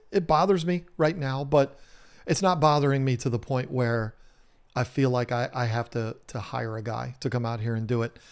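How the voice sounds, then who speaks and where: A man speaks with a Southern US accent. His pitch is medium. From US South. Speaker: home renovation YouTuber. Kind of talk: live stream chat. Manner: casual, many fillers.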